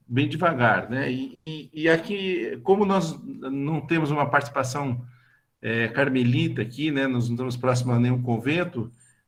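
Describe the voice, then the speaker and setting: Fairly high in pitch, a man speaks in a somewhat breathy voice. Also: ordinary pitch variation, moderate pace. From Brazil, São Paulo state (Bragança Paulista). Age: 60s. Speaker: lay religious formation leader. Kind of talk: online talk / testimony. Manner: halting, many fillers.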